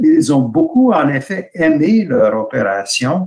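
A man with an English accent speaks at a very slow pace. The background is quiet. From Canada. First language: English (speaking French). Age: 60s. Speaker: hand surgery professor. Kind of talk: webinar lecture; lecture. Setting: video call. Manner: halting.

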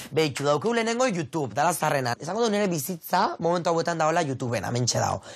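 This man's fairly high voice carries an animated tone, with very wide pitch swings and very even loudness. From Basque Country (Azkoitia, Gipuzkoa). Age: 20s. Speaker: content creator. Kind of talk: casual interview.

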